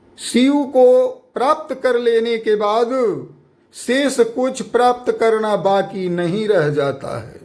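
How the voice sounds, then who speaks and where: Audible room echo surrounds a man whose extremely high pitch rises and falls with lively intonation. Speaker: guru. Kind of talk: sermon.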